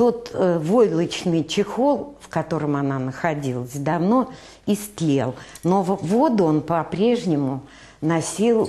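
A woman talks at a low pitch with a dark, mellow tone and lively intonation. She goes at a fairly slow pace with few pauses.

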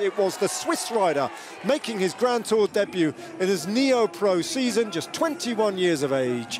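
Against noticeable background noise, a man talks in an animated tone. His high voice swings very widely in pitch. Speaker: race commentator. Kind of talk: sports commentary. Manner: fast, punchy race-recap delivery; animated, urgent.

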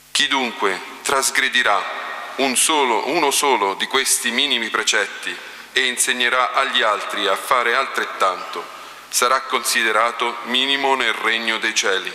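A man speaks at a fairly slow pace with ordinary pitch variation and very even loudness, and audible room echo can be heard. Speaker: liturgical reader. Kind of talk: reading aloud. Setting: church. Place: church. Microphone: podium.

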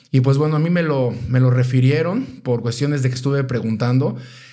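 Pitched fairly high for a man, this male voice has a dark, mellow tone. His intonation stays fairly even. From Mexico. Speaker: podcast host. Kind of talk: casual interview.

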